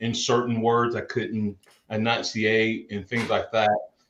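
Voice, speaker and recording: This man has an American accent and a medium pitch. He talks at a fairly slow pace. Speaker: football coach and pastor. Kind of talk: interview. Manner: boisterous.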